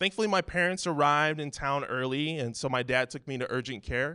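A man speaks in a plain, everyday voice at fairly high pitch. His moderate pace is heard against a quiet background. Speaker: church elder, guest preacher. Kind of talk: sermon.

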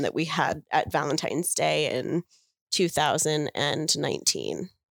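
The recording is very clean with a silent background. A woman speaks at a fairly slow pace. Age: 40s. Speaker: guest, cuckoldress. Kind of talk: interview. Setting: in person.

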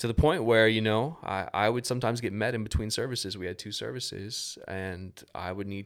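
A man with an American accent, in a normal speaking voice, fairly low in pitch with ordinary pitch variation, at a fairly quick pace, on a very clean recording over a silent background. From Tallahassee, Florida (US South). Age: 40s. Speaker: church volunteer team leader, former worship leader. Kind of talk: testimony.

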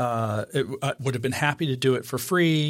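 In a very clean recording with a silent background, a man with an American accent and a normal speaking voice talks at a medium pitch and moderate pace, his pitch varying in an ordinary way. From Idaho, US. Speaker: photography podcast co-host. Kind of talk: casual chat.

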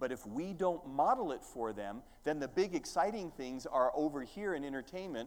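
A man in an American accent with a fairly high pitch, lively intonation and a moderate pace, a plain, everyday voice. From Minnesota. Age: 50s. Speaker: visiting preacher. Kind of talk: sermon. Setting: church.

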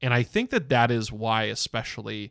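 A man with an unremarkable speaking voice is heard dry and close with no echo on a very clean recording with a silent background. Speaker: podcast host. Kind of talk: casual podcast discussion. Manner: filler-heavy, chatty.

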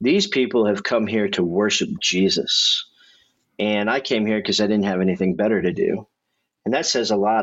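Speaking with a Midwestern American accent, a man keeps a fairly quick pace, fairly low pitch, ordinary pitch variation and very even loudness. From Indianapolis, Indiana. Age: 30s. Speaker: pastor. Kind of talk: testimony. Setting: studio.

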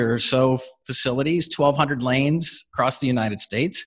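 An ordinary speaking voice at a moderate pace, fairly even intonation, over a quiet background. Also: man. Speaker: company CEO. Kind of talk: casual interview.

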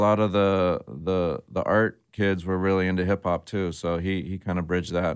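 With a Californian accent, a man speaks at a fairly quick pace in a very deep, low pitch with fairly even intonation, in a very clean recording with a silent background. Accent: Californian American. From US West Coast, San Jose, California. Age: 40s. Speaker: hip-hop DJ and record label owner. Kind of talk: casual interview chat.

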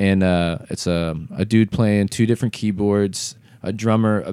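A man with an American accent speaks at a moderate pace in a dark, mellow tone with fairly even intonation, recorded very cleanly against a silent background. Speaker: rapper and videographer. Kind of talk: casual chat.

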